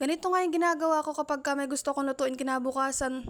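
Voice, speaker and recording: Words come at a very fast pace. Pitch variation is ordinary. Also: woman. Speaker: vlogger. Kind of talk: casual vlog narration. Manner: chatty.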